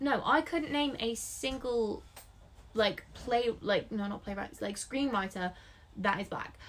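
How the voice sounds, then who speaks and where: Here a woman speaks with an English accent and a fairly high pitch. Her pace is fairly slow, with ordinary pitch variation. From England. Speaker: book podcast co-host. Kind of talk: casual chat.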